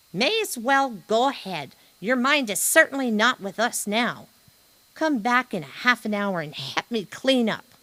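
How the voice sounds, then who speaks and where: A put-on character voice, female-sounding and high-pitched, moves along at a moderate pace. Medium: read story. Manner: brisk, folksy.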